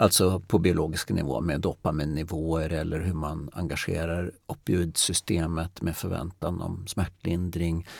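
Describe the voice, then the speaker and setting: A man's very deep, low pitch with fairly even intonation and hardly any pauses, on a very clean recording with a silent background. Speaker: stress researcher, podcast co-host. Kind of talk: casual chat. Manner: slow; trailing off in volume.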